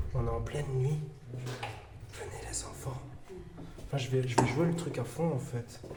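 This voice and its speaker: A man at a fairly slow pace with long, frequent pauses, amid noticeable background noise and audible room echo. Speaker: paranormal investigator. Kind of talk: on-location ghost hunt narration. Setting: dark building at night. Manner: whispering; halting.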